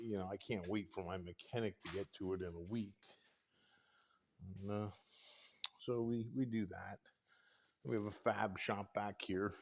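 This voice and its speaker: This man speaks at a moderate pace in a relaxed tone, his fairly low voice showing ordinary pitch variation, with long, frequent pauses. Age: 60s. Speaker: tradesman showing his workshop. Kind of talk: casual walkthrough tour. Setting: indoors in workshop. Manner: relaxed, with many fillers.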